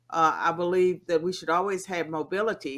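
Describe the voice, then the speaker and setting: A woman with a Southern US accent speaks at a moderate pace in a fairly low voice. The recording is very clean, with a silent background. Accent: Southern American. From US South, rural. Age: 60s. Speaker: political scientist. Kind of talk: interview.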